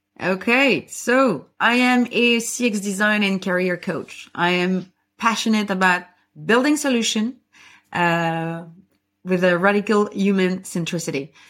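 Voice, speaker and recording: On a very clean recording with a silent background, a woman speaks at a fairly slow pace with ordinary pitch variation. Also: medium pitch for a woman. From French-speaking Belgium. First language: French. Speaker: podcast host and CX design coach. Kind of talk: casual chat, livestream conversation. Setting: live stream on LinkedIn and YouTube.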